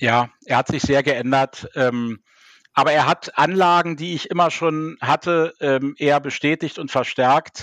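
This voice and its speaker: Over a quiet background, a man with a fairly high pitch speaks at a fairly slow pace with fairly even intonation, the sound dry and close with no echo. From Berlin (West Berlin). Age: 50s. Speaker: party official and theologian. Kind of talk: interview. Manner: hesitant with fillers.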